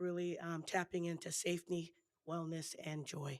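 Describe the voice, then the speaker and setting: The woman speaks at a moderate pace with fairly low pitch. Her intonation is monotone and flat. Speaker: school district administrator presenting to board. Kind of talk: formal presentation. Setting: school board meeting. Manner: formal.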